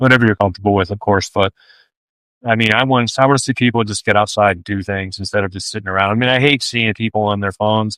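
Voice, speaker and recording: At a very fast pace, a man with a fairly low pitch and a bright, sharp tone speaks in a very clean recording with a silent background and a dry, close sound with no echo. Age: 50s. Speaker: ultrarunner and running coach. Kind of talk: casual chat. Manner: halting.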